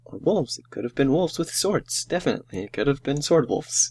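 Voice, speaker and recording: A man mumbles in a put-on character voice at a fairly high pitch and a fairly quick pace. His intonation is lively, with big swings in loudness. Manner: mumbling to herself.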